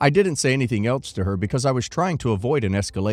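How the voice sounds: A natural reading voice carries the whole recording.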